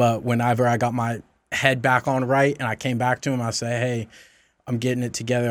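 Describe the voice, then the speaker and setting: In an American accent, a man at medium pitch speaks at a fairly quick pace with monotone, flat intonation. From US South. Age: 30s. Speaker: insurance agent. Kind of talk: casual interview. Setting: studio. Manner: polite, formal.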